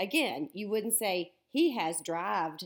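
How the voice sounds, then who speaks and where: This woman talks at a fairly slow pace. Her recording is very clean, with a silent background. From US South. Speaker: teacher. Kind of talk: lecture. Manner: animated.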